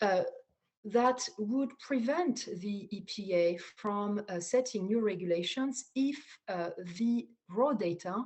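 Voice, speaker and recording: A woman's lively intonation in a French accent. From France. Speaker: data scientist. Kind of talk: conference talk. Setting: online video talk. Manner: halting, many fillers and repeats.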